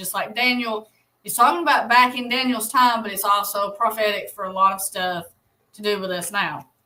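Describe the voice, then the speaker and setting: A woman with an Alabama accent, fairly high pitch, a bright, sharp tone, ordinary pitch variation, and a moderate pace. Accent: US Southern (Alabama). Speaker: Bible study livestream host. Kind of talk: livestream Bible study. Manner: casual, conversational.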